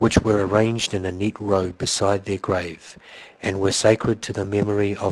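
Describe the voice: What you hear is plain reading aloud.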